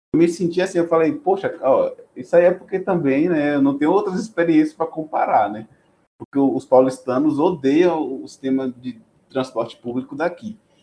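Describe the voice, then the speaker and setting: In a dark, mellow tone, a man speaks at a moderate pace with a fairly high pitch and ordinary pitch variation. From Bahia interior, Brazil (Chapada Diamantina). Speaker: biotechnology student and research intern. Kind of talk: casual interview chat.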